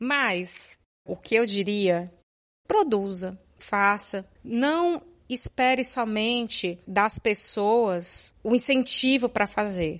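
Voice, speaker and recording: Very slow speech from a woman, pitched rather high, with normal rises and falls. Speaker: podcaster and podcast editor. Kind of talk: casual interview chat.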